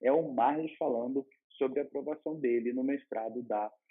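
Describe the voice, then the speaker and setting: A man with a Rio de Janeiro accent, medium in pitch and fairly even in intonation. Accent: carioca. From Rio de Janeiro, Brazil. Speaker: law master's student, vlogger. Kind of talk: advice vlog. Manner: casual, with hesitations and repetitions.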